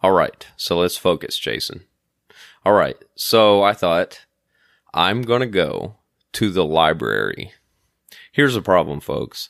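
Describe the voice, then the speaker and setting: In a very clean recording with a silent background, a man with vocal fry and a fairly low pitch speaks at a fairly slow pace, using lively intonation and long, frequent pauses. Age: 40s. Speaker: podcast host, domain investor. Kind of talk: solo podcast monologue. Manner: casual, with frequent filler words.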